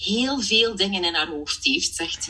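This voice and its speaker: Speaking at a fairly slow pace, a woman swings very widely in pitch with a bright, sharp tone. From Belgium (Flanders), partly Germany. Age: 30s. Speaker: part-time coach. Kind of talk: casual interview chat. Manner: animated, laughs often.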